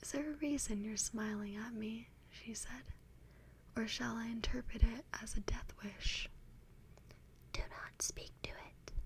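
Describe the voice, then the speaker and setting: Whispering and soft-spoken, the speaker moves at a fairly slow pace. Long, frequent pauses break up the speech. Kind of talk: fiction reading. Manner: whispered, soft.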